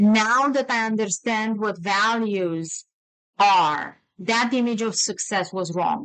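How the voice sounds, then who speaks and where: At a very slow pace, a woman speaks with fairly high pitch and ordinary pitch variation. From Romania. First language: Romanian. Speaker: attorney and podcast host. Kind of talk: casual conversation.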